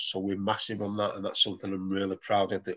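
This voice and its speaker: Here is a man with a strong Mancunian accent. His pitch sits fairly low. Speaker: football academy manager. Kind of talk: presentation talk on video call.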